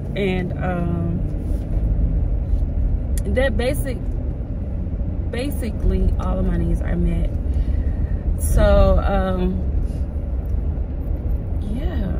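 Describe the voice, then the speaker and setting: Loud background noise surrounds a woman speaking at a very slow pace with long, frequent pauses. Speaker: vlogger. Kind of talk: casual vlog chat. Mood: upbeat, reflective. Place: car. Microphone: phone near.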